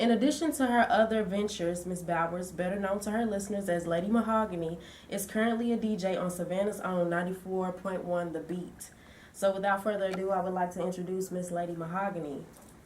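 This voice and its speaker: A woman talks at a very fast pace with fairly even intonation, amid noticeable background noise and audible room echo. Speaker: student intern interviewer. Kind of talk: reading an introduction; interview.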